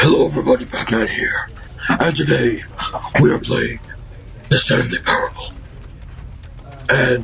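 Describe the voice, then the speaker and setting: A man's put-on character voice, raspy and serious in tone, at a moderate pace with long, frequent pauses and light background noise. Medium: voice reel. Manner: gruff, serious.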